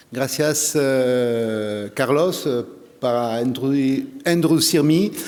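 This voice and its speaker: In a French accent, a man speaks at a very slow pace with ordinary pitch variation, with noticeable background noise and audible room echo. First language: French (speaking Spanish). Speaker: agricultural expert, plant protection official. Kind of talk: conference talk. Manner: halting, many hesitations.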